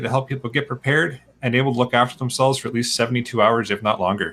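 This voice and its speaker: A man at a very fast pace, medium in pitch, with a bright, sharp tone and ordinary pitch variation. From Southern Ontario, Canada. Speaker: podcast host. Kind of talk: casual chat.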